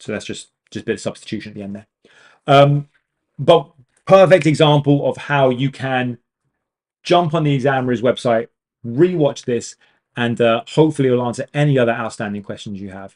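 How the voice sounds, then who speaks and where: A man with a British accent speaks at a fairly quick pace, his pitch medium with ordinary variation. His loudness swings widely from moment to moment. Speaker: maths tutor. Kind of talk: live online tutorial. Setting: livestream. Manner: fast.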